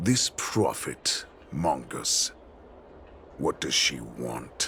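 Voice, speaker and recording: A man's put-on character voice, very deep and low, at a very slow pace over clear background noise. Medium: video game. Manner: arrogant, mocking.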